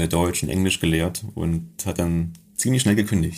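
A man's very deep, low voice at a moderate pace with ordinary pitch variation. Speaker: mountain guide. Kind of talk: interview.

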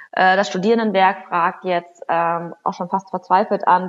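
This woman speaks at a medium pitch. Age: 30s. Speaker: member of parliament. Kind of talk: interview. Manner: hesitant, many fillers.

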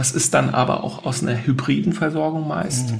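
A male speaker keeps a moderate pace while noticeable background noise runs behind him. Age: 40s. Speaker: sustainability consultant. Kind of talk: interview.

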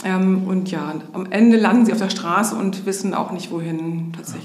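A woman at a moderate pace with fairly even intonation, audible room echo and noticeable background noise. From Hamburg area, northern Germany. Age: 50s. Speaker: social worker, homeless shelter manager. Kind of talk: interview.

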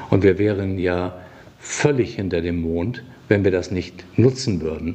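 Noticeable background noise surrounds a man with a very deep, low pitch who speaks at a moderate pace with ordinary pitch variation. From northern Germany (Flensburg). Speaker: hospital director and physician. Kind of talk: interview.

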